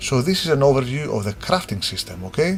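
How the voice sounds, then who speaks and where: A man speaks with a non-native accent. There is noticeable background noise. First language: not English. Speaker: game designer. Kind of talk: tutorial. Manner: halting; casual.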